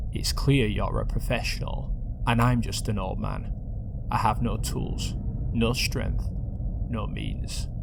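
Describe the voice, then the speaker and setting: Amid loud background noise, a man puts on a croaky character voice and speaks at a fairly slow pace. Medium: read story. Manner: slow, sly.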